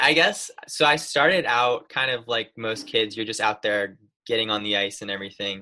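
A speaker with an American accent talks at a moderate pace in a bright, sharp tone, with ordinary pitch variation. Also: man, medium pitch for a man. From upstate New York. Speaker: college goaltender. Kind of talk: casual chat.

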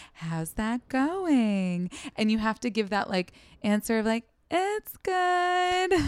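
A woman with an American accent talks at a very slow pace in a fairly high pitch, her voice making very wide pitch swings. The sound is dry and close with no echo, a very clean recording with a silent background. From US Pacific Northwest, Seattle. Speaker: comedian. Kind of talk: casual chat.

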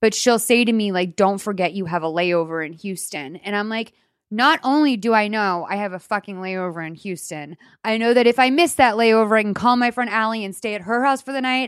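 Delivered at a fairly quick pace with lively intonation, the voice is captured on a very clean recording against a silent background. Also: woman, fairly high pitch for a woman. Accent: Boston. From Boston. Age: 30s. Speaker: podcast host. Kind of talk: casual advice chat.

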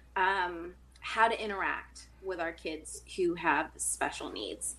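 At a very slow pace, a woman talks with an American accent. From Massachusetts, US. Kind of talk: casual interview chat. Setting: video call.

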